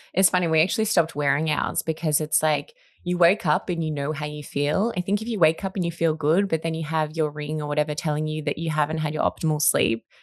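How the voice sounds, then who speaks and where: Here a woman with an Australian accent and a very deep, low pitch speaks at a very fast pace. She barely pauses, and her intonation stays fairly even. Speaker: podcast host. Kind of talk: podcast interview.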